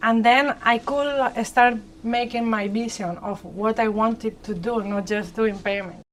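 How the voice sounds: A woman with a Spanish accent speaks at a fairly slow pace and a fairly high pitch, with fairly even intonation.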